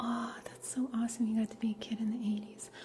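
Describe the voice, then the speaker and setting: Against noticeable background noise, a woman with a fairly high pitch speaks in a relaxed tone at a moderate pace, her intonation flat and monotone. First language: Russian. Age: 30s. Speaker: livestreamer. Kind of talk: casual chat. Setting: livestream.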